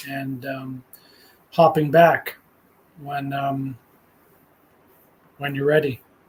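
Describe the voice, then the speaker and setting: Somewhat breathy, a man speaks at a fairly slow pace with monotone, flat intonation. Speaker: spiritual video journaler. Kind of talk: live stream monologue. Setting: solo live stream. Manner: casual, hesitant with fillers.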